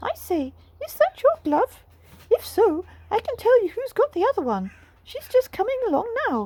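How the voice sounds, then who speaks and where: A woman uses a put-on character voice that is squeaky and extremely high-pitched, with very wide pitch swings. She keeps a moderate pace, broken by long, frequent pauses. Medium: read story. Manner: chirpy, cheeky.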